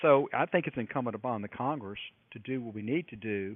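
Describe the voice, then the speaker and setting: Here is a man with an ordinary speaking voice and an American accent. He speaks at a fairly low pitch and moderate pace with ordinary pitch variation. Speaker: U.S. congressman. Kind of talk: radio interview answer.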